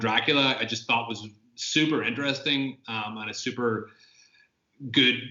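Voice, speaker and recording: A man with a Northern Irish accent speaks in a monotone, flat intonation. His pace is fairly slow. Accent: Northern Irish (Tyrone). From Northern Ireland, County Tyrone. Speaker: film director. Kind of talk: Q&A interview.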